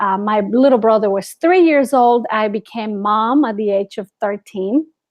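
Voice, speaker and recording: With a Spanish accent, a woman talks at a moderate pace in a fairly high pitch with ordinary pitch variation. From Guatemala. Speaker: ESL teacher. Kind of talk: interview.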